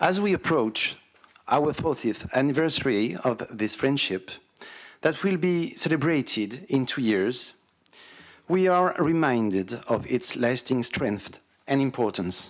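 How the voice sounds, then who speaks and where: A man speaks at a fairly high pitch with very wide pitch swings. The recording is very clean, with a silent background. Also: fairly slow pace, very even loudness. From France. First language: French. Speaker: councillor, visiting delegate. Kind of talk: formal ceremonial speech.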